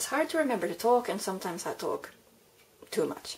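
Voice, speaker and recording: A woman with a Finnish accent speaks at a fairly high pitch with very wide pitch swings. Noticeable background noise runs under her voice. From Finland. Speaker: crafting tutorial maker. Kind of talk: tutorial. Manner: halting.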